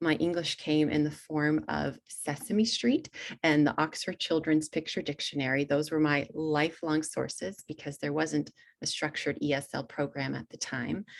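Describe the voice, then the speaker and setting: A woman talks at a moderate pace with a Hungarian accent. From Texas (Kingwood, Houston area), Hungarian-born. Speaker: author and teacher trainer. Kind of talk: webinar presentation. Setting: online webinar.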